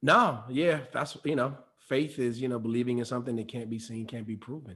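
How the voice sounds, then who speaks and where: Delivered at a fairly quick pace, a normal speaking voice comes through. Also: man, medium pitch for a man. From Detroit. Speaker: actor and voice actor. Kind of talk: interview answer.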